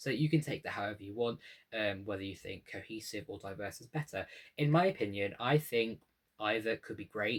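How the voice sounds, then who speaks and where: In a very clean recording with a silent background, a somewhat breathy man speaks fairly quickly at a medium pitch, with ordinary pitch variation and big swings in loudness. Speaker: YouTuber, music commentator. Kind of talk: video essay. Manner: fast.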